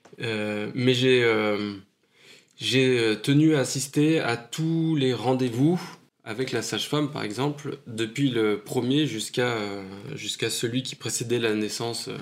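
This man has a medium pitch and ordinary pitch variation. He speaks at a very slow pace. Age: 40s. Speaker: new father. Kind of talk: testimony.

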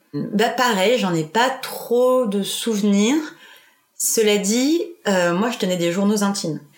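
This woman speaks at a very slow pace and a medium pitch with lively intonation. Her loudness stays very even. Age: 20s. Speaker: podcast guest sharing personal story. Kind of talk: personal testimony interview. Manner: casual with many hesitations.

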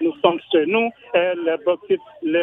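A man with a high pitch speaks at a fairly slow pace against noticeable background noise. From Guinea, Kindia. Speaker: radio caller. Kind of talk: call-in opinion.

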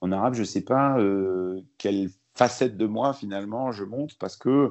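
With a normal speaking voice, a man talks fairly slowly in a fairly low pitch with ordinary pitch variation. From France, born in Lebanon. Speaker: journalist and author. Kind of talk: interview.

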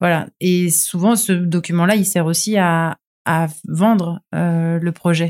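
Very slow and monotone, a woman's fairly low voice comes across dry and close with no echo, its intonation flat. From Toulon, southern France. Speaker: TV screenwriter and showrunner. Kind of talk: casual interview.

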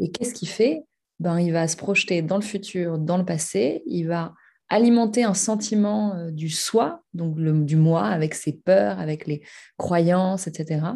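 A woman speaks very slowly in a fairly low, somewhat breathy voice with a dark, mellow tone. Her intonation is lively, and the background is quiet. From Paris, France. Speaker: meditation trainer. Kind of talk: interview. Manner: hesitant, many fillers.

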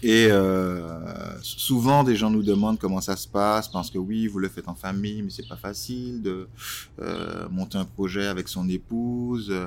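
This man's voice is fairly low in pitch, and his intonation stays fairly even. He takes long, frequent pauses. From Martinique. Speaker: entrepreneur and designer. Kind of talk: interview. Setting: outdoors by a canal near the kiosk.

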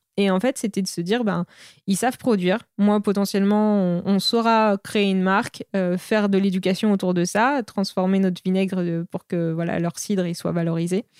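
In a very clean recording with a silent background and a dry, close sound with no echo, a woman speaks at medium pitch and a moderate pace with fairly even intonation. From Normandy, France. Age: 30s. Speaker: entrepreneur. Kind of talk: casual interview. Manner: halting, many fillers.

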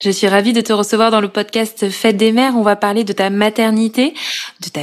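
A woman with a normal speaking voice talks at a fairly high pitch and a moderate pace. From Corrèze, France. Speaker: podcast host and journalist. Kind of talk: interview.

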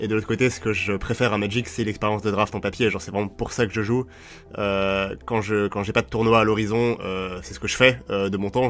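Speaking at a fairly quick pace, a man with a fairly low pitch keeps his intonation fairly even. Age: 20s. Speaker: professional card game player. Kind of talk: casual chat. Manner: halting, with frequent repeated words.

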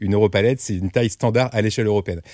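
On a very clean recording with a silent background and a dry, close sound with no echo, a man speaks very fast at medium pitch with ordinary pitch variation. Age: 40s. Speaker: startup founder and CEO. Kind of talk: casual interview.

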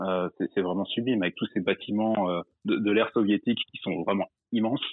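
A man with an ordinary speaking voice and fairly low pitch talks at a moderate pace with fairly even intonation. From Drôme, France. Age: 20s. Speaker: caller, expatriate. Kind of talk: casual chat.

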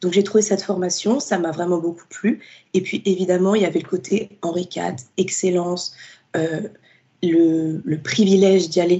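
With a plain, everyday voice, a woman talks at a medium pitch and moderate pace. Her intonation stays fairly even. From Paris suburbs, France. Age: 20s. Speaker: literature student and book influencer. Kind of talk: interview.

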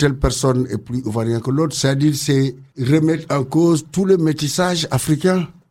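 Speaking at a moderate pace, a man has a fairly high voice with a dark, mellow tone and ordinary pitch variation. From Senegal. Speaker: community centre director. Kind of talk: radio interview.

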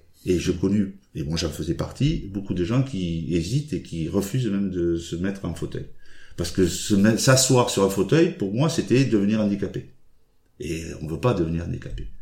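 A man speaks at a fairly low pitch in a dark, mellow, somewhat breathy tone. His pace is moderate and his intonation lively. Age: 60s. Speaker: badminton player and regional sports official. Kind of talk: casual interview.

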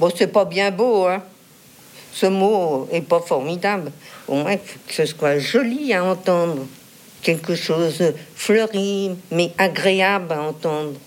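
Delivered at a very slow pace with long, frequent pauses, the speech has ordinary pitch variation over noticeable background noise. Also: woman, fairly low pitch for a woman. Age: 80s+. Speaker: retired chief accountant. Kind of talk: interview.

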